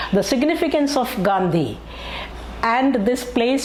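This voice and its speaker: Lively intonation marks this woman's speech, delivered at a fairly slow pace with a Keralan accent. Noticeable background noise and audible room echo are present. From Kerala, India. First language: Malayalam. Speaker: YouTube history narrator. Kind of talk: educational narration. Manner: hesitant with many fillers.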